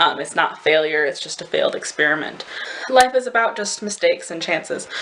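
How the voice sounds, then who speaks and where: Speaking at a moderate pace with an American accent, a woman is heard against noticeable background noise. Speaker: au pair vlogger. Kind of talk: casual vlog. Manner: rambling, hesitant.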